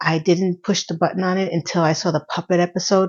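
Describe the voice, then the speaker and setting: A normal speaking voice with fairly even intonation. The pace is moderate. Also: woman. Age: 50s. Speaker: YouTuber. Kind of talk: casual vlog monologue.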